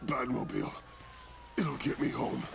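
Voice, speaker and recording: The speaker uses a put-on character voice at a moderate pace. Clear background noise sits behind it. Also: man. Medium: video game. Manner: terse, clipped.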